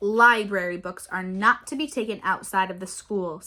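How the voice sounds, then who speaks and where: Putting on a character voice, a woman speaks at medium pitch and a moderate pace, with big swings in loudness. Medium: read story. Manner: curt, cold.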